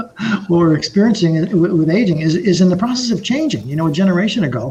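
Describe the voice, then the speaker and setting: Very fast, lively speech from a high-pitched man with an American accent, against noticeable background noise. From New York (Brooklyn). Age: 60s. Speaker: author and entrepreneur. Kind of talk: podcast interview. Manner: halting, frequent repetitions.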